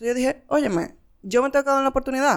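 A woman with a high pitch speaks at a very fast pace in a very clean recording with a silent background. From La Vega, Dominican Republic. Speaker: podcast co-host. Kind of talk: casual chat.

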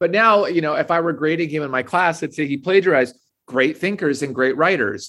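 An ordinary speaking voice from a man with an American accent, fairly quick and lively in intonation. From Minnesota. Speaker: author and English professor. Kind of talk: interview.

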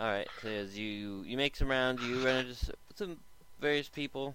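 Ordinary pitch variation in plain reading aloud

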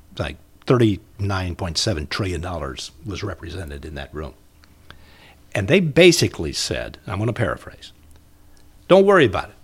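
Speaking with an American accent, a man uses a very deep, low voice with vocal fry, lively intonation, big swings in loudness, a fairly slow pace, and long, frequent pauses. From Indiana, Muncie. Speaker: retired broadcaster and storyteller. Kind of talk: casual interview chat.

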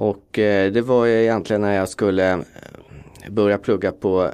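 Using a normal speaking voice, a man talks at a moderate pace and fairly low pitch, with fairly even intonation and very even loudness. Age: 40s. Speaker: fund manager. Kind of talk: interview.

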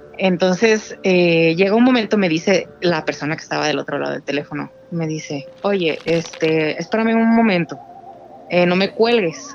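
Noticeable background noise accompanies a woman with a fairly low pitch. She speaks at a moderate pace with lively intonation. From Guadalajara, Mexico. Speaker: caller. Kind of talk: storytelling. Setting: phone call.

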